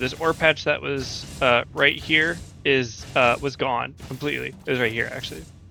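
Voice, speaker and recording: Over music in the background, a man with a fairly high pitch talks quietly at a fairly slow pace, his intonation lively. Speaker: gaming video creator. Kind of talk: gameplay commentary. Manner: quieter, laid back.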